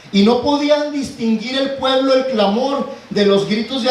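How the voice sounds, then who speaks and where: Over noticeable background noise and audible room echo, a man speaks at a fairly slow pace with ordinary pitch variation. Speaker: pastor. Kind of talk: sermon. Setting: church.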